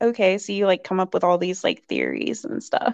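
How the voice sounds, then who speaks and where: Here is a woman with an unremarkable speaking voice, in an American accent. Her pitch is medium, with ordinary variation. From rural Virginia, US. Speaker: podcast co-host. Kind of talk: casual chat.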